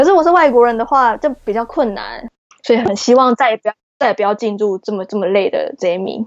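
A woman speaks at a very fast pace with lively intonation. Her pitch is fairly high. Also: dry, close sound with no echo. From Taiwan. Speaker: graduate student. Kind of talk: interview.

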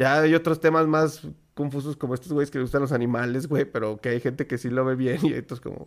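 A man's fairly high voice at a very fast pace with fairly even intonation. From Mexico. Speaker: podcast co-host. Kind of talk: casual chat.

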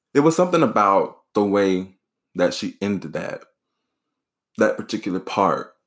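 Speaking at a moderate pace with long, frequent pauses, a man is heard on a very clean recording with a silent background. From US South, rural South Carolina. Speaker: podcast host, college student and author. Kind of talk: solo podcast monologue.

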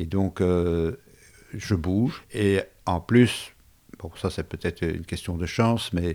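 Over a silent background on a very clean recording, a dark, mellow tone moves at a very slow pace with fairly even intonation. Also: man. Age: 70s. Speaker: retired civil servant, heart patient. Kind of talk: personal testimony. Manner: halting, with repetitions.

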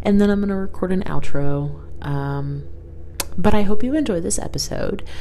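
Noticeable background noise sits behind a woman's voice. She speaks at a moderate pace in an animated tone. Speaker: podcast host. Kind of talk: casual chat, rambling podcast. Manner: animated, laughs often.

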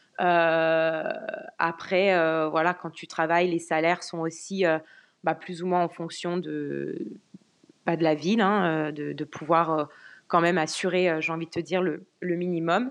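The delivery is very slow, with long, frequent pauses and monotone, flat intonation. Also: woman, fairly low pitch for a woman. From France. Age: 20s. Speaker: car sales professional. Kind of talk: casual interview chat. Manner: hesitant, many fillers.

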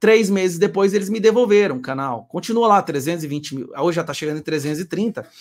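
A high-pitched man speaks with lively intonation. He leaves hardly any pauses. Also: moderate pace. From Goiás, Brazil. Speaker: political channel host. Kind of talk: casual chat.

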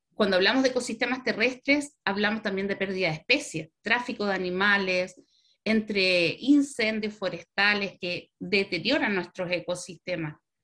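Bright and sharp in tone, the voice moves at a moderate pace. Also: woman, medium pitch for a woman, ordinary pitch variation. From Chile. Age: 40s. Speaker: veterinarian and university sustainability coordinator. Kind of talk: interview.

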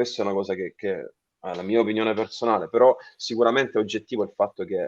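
A man talks at a fairly quick pace, recorded with a dry, close sound and no echo. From Salento, Apulia, southern Italy. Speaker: keyboard player in a rock band. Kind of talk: interview.

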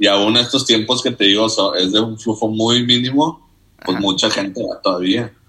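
A man's unremarkable speaking voice at medium pitch, fairly even in intonation, at a fairly quick pace. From Mexico, Nuevo Laredo, Tamaulipas. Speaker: economics student. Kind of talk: casual chat. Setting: studio.

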